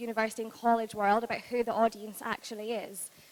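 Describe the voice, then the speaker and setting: In a Scottish accent, a woman speaks at a fairly high pitch. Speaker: university recruiter, panel moderator. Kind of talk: panel presentation.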